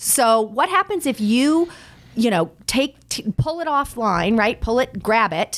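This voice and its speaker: At a fairly slow pace, a woman with a Californian accent speaks at a fairly high pitch with very wide pitch swings, in a very clean recording with a silent background. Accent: American (California). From Los Angeles. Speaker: publicist. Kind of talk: interview.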